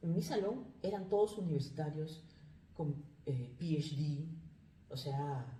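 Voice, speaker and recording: A woman speaks at a fairly slow pace in a very deep, low pitch and a dark, mellow tone, somewhat breathy. Long pauses come often, and room echo is audible. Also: ordinary pitch variation. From Peru. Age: 40s. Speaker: life coach, migrant. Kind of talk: interview. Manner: halting.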